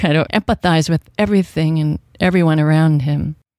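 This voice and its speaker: This woman has a plain, everyday voice with an American accent, fairly low pitch and ordinary pitch variation. The recording is very clean and dry, close-miked with no echo and a silent background. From Washington State, US. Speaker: novelist. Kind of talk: radio interview. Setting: radio studio.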